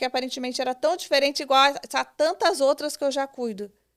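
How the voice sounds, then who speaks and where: The speech moves at a fairly quick pace. The recording is very clean with a silent background, and the sound is dry and close with no echo. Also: woman. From Brazil, Brasília. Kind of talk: podcast interview, testimony.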